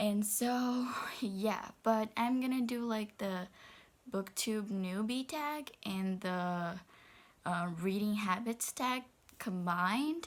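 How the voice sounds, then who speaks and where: A woman with a Brazilian Portuguese accent, fairly high-pitched with ordinary pitch variation, at a very slow pace. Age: 20s. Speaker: book vlogger. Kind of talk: casual vlog. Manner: hesitant, many fillers.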